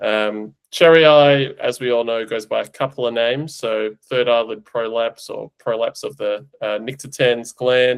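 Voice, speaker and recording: With an Australian accent and fairly even intonation, the speaker goes at a fairly slow pace with hardly any pauses, in a very clean recording over a silent background. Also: man, medium pitch for a man. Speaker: veterinary eye specialist, podcast host. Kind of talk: casual podcast chat, technical explanation.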